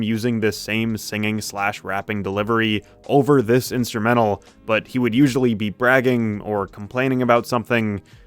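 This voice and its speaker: Over music in the background, a man of medium pitch talks at a fairly quick pace with fairly even intonation. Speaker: music reviewer. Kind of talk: opinion review rant.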